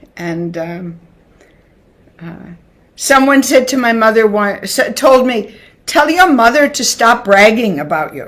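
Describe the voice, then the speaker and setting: A woman's fairly high voice with a strong American accent, at a fairly slow pace, with very wide pitch swings, big swings in loudness and long, frequent pauses. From United States. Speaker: classical dancer and dance teacher. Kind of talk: interview. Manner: halting.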